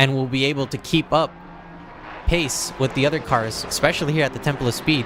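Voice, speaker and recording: A man's fairly high, fairly even voice with an American accent, at a fairly quick pace over noticeable background noise. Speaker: sim racing commentator. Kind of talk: live commentary.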